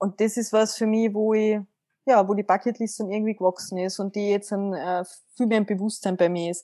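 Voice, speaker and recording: Dark and mellow in tone, a woman's voice holds fairly even intonation in a dry, close sound with no echo. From Austria, Carinthia. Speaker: mental coach. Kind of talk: interview.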